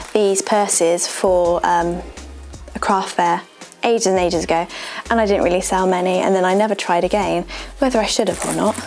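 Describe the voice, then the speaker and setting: Music plays behind a woman with a British accent speaking at a medium pitch and fairly quick pace, with long, frequent pauses. Her loudness is very even and her intonation fairly even. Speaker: seamstress. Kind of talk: casual talk to camera.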